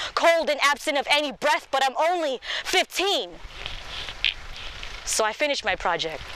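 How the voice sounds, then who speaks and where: A woman speaks over noticeable background noise. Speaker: poet. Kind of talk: slam poetry performance.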